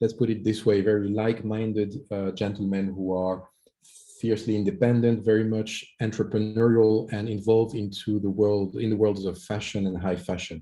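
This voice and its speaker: Speaking with a French accent, a man uses a fairly low pitch and a dark, mellow tone with monotone, flat intonation. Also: moderate pace, quiet background. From France. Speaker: startup executive pitching. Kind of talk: startup pitch. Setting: video call.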